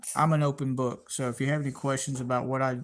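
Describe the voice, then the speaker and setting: The speaker has a Southern US accent, captured in a very clean recording with a silent background. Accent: Southern US (Georgia). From US South, Georgia. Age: 40s. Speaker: YouTube space channel host. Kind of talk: live stream chat with viewers. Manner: halting, many fillers and repetitions.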